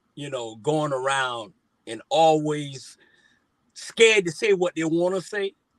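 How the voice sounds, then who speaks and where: Speaking fairly slowly, a man with a fairly high pitch sounds animated, with lively intonation and big swings in loudness. The recording is dry and close, with no echo. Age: 60s. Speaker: talk show co-host. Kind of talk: casual panel discussion.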